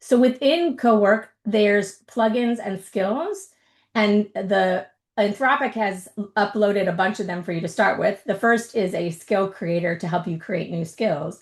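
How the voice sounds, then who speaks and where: A woman speaks fairly slowly in a somewhat breathy voice of medium pitch. Her intonation is lively over a quiet background. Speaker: tech presenter, workshop host. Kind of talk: webinar presentation, tutorial.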